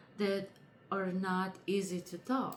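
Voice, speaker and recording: A woman with a non-native accent speaks at a very slow pace and a medium pitch. Background noise is noticeable. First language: not English. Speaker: lifestyle vlogger. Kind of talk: casual chat.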